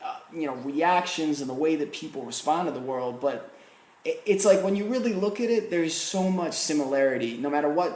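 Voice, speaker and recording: Amid noticeable background noise and audible room echo, a man with a New Jersey accent talks at a fairly quick pace in a fairly high voice with lively intonation. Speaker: podcast host. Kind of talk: interview conversation.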